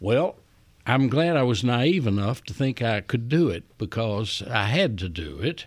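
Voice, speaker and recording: A man speaks at medium pitch with a Southern US accent. His pitch swings very widely. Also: fairly slow pace. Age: 70s. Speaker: retired chief executive. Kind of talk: interview. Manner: folksy storyteller.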